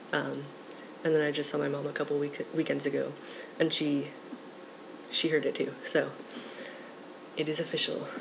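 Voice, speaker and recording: Long, frequent pauses in a man's moderately paced speech, with noticeable background noise behind. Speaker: vlogger documenting transition. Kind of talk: casual vlog. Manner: rambling with many fillers.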